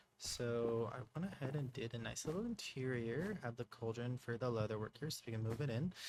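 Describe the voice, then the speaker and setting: This man's voice is somewhat breathy, at a medium pitch. He speaks at a moderate pace. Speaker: gaming youtuber. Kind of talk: casual gameplay commentary. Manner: casual, hesitant with fillers.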